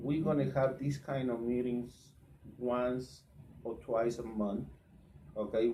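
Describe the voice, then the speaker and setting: With a Spanish accent, a man speaks very slowly at medium pitch, leaving long, frequent pauses. His tone is dark and mellow, his intonation fairly even, and the room echo audible. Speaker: truck drivers' association leader, live show host. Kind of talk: live Facebook talk show interview. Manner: halting, repeats words.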